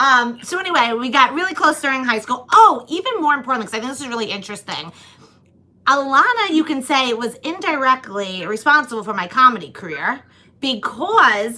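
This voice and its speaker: With an American accent, a raised, projected voice moves at a fairly quick pace through very wide pitch swings and big swings in loudness, over noticeable background noise. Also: woman, high pitch for a woman. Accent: Long Island accent, lighter than before. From Long Island, New York. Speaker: comedian and podcast host. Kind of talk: casual chat.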